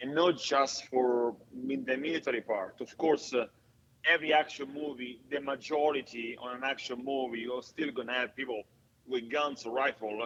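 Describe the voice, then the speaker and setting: A man with an Italian accent, medium pitch and fairly even intonation. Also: moderate pace. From Italy. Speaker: stuntman and actor. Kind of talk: casual interview chat. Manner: halting, many fillers.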